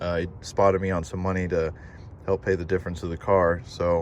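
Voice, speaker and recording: A man's very deep, low-pitched voice with an American accent. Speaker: car vlogger. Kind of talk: casual vlog. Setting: outdoors. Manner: fast; low energy.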